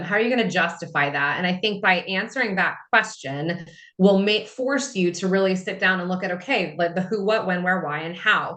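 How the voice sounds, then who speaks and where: With hardly any pauses, a woman talks at a fairly quick pace in an ordinary speaking voice, medium in pitch with ordinary pitch variation. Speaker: guest speaker on AI for proposals. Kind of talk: webinar Q&A. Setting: Zoom webinar.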